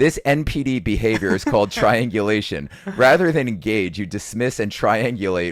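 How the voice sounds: Lively intonation colors a natural reading voice.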